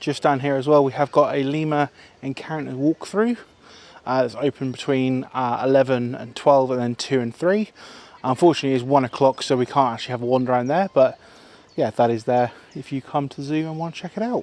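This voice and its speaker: A man's English accent at a fairly quick pace, with ordinary pitch variation and a dry, close sound with no echo. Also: medium pitch for a man, big swings in loudness. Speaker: zoo vlogger. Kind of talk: walking vlog commentary. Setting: outdoors at a zoo. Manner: chatty and enthusiastic.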